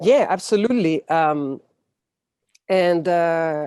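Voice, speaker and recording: On a very clean recording with a silent background, a woman speaks with a Spanish accent in a fairly low pitch. Her tone is dark and mellow, with ordinary pitch variation. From Chile. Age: 40s. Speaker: activist. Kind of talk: interview. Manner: halting.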